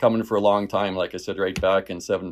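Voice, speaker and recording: In a Canadian prairie accent, a man rattles along at a very fast pace with fairly low pitch on a very clean recording, the background silent. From rural Saskatchewan, Canada. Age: 50s. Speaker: realtor and former farmer. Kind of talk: casual interview.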